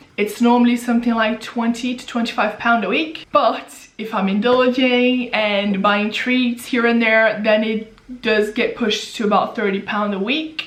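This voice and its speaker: A woman's fairly high voice with ordinary pitch variation at a fairly slow pace, plus noticeable background noise and audible room echo. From Brazil. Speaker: personal finance YouTuber. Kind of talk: Q&A casual vlog.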